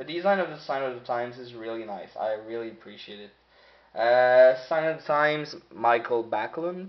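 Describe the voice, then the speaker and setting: A French accent at a moderate pace, with ordinary pitch variation and big swings in loudness. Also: man, medium pitch for a man. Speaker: sports card collector. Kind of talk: box break commentary. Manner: casual.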